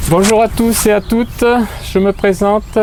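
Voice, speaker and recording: Noticeable background noise is present throughout. A man speaks over it at a fairly slow pace. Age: 60s. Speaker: football club official and youth coach. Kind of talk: interview testimony. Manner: hesitant, frequent euh fillers.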